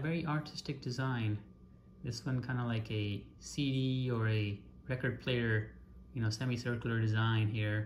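Light background noise is present. The voice is a man's. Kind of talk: show-and-tell commentary. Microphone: phone near.

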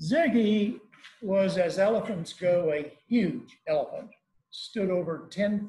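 The speech moves at a very slow pace, with audible room echo around it. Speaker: presenter. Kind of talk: lecture. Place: hall.

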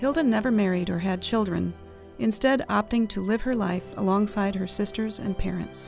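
A woman's medium-pitched voice at a moderate pace, with ordinary pitch variation, over music in the background. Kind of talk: documentary narration.

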